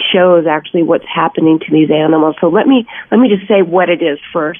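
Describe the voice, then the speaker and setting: A woman with an unremarkable speaking voice and fairly low pitch. Her pitch varies in an ordinary way. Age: 60s. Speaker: actress and animal welfare advocate. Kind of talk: interview.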